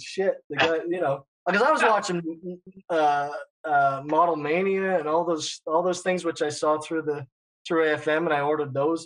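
An unremarkable speaking voice from a man, fairly high in pitch, with fairly even intonation at a moderate pace. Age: 30s. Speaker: figure model kit producer and painter. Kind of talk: casual chat.

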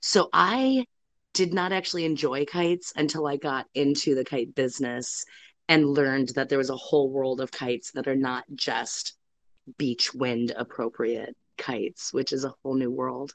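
A woman with an American accent speaks at a moderate pace in a very deep, low voice, with ordinary pitch variation. The sound is dry and close with no echo, over a quiet background. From US Midwest, metro Detroit. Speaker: kite shop worker. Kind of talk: interview.

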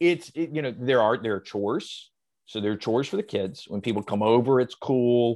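With an American accent and an ordinary speaking voice, a man talks at a medium pitch and moderate pace, using ordinary pitch variation over a quiet background. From US South. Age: 40s. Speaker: comedian. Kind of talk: casual chat.

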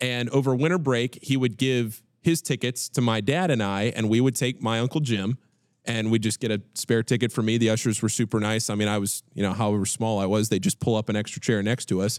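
Talking at a fairly quick pace, a man with an American accent and a plain, everyday voice keeps a medium pitch with ordinary pitch variation and very even loudness, on a very clean recording with a silent background and a dry, close sound with no echo. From Northern Virginia, near Washington D.C. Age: 20s. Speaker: podcast co-host. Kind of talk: casual chat.

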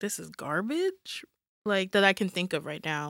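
An ordinary speaking voice with an American accent comes at a moderate pace, in a dry, close sound with no echo on a very clean recording with a silent background. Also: woman. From New York. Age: 20s. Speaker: K-pop fan, new podcast member. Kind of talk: casual chat.

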